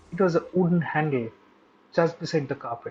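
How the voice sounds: A man speaks with a fairly high pitch. His tone is slightly mellow. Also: ordinary pitch variation, fairly quick pace.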